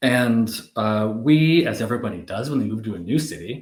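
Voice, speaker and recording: A man with a Canadian accent, medium pitch, lively intonation and a fairly slow pace. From Canada. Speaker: business executive. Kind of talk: casual interview chat. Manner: hesitant, many fillers.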